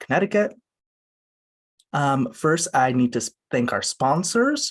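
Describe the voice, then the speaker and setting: With lively intonation, a man speaks at a fairly slow pace and a fairly high pitch. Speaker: museum literary program coordinator, event host. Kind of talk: virtual event host introduction. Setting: home video call. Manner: casual, hesitant with fillers.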